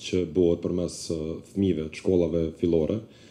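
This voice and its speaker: In an Albanian accent, a man talks at a moderate pace in a dark, mellow tone with monotone, flat intonation. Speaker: basketball club representative. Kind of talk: audience contribution.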